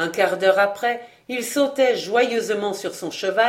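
Ordinary pitch variation in a plain read-aloud passage

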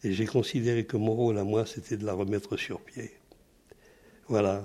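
A man's dark, mellow voice at a medium pitch, with monotone, flat intonation. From France (Paris, then Toulouse from age 13). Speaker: WWII resistance veteran. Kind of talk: testimony. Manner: halting.

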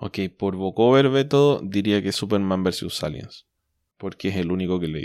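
A man with a Chilean accent talks at a moderate pace and fairly low pitch with lively intonation, in a very clean recording with a silent background. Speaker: comics podcast host. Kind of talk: casual chat.

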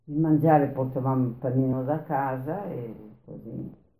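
Audible room echo surrounds a woman whose tone is dark and mellow. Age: 90s. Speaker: former partisan. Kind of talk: oral history interview. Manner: halting.

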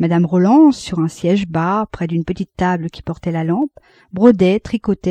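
The pitch shows ordinary variation. A text is read aloud in a natural voice.

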